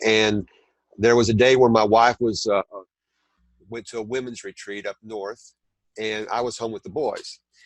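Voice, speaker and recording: In a Southern US accent, a man at a medium pitch speaks with monotone, flat intonation, long, frequent pauses and big swings in loudness, in a dry, close recording with no echo and a quiet background. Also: moderate pace. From southern Indiana. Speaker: t-shirt designer and content creator. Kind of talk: interview. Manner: halting, many fillers.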